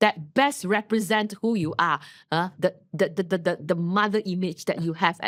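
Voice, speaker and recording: A woman with a normal speaking voice talks at a fairly quick pace, her pitch fairly low with ordinary variation. The recording is very clean with a silent background and dry, close sound with no echo. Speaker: podcast co-host. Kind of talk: casual chat.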